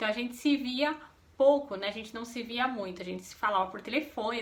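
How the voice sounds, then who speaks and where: Noticeable background noise sits behind the speaker. A woman talks at a fairly quick pace. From São Paulo state, Brazil. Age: 30s. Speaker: vlogger. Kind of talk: casual chat.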